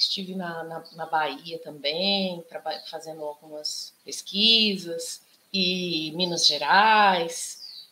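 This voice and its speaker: A woman speaks at a very slow pace in a fairly low voice, her intonation fairly even. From Socorro, São Paulo interior. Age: 40s. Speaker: musician and activist. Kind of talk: panel talk.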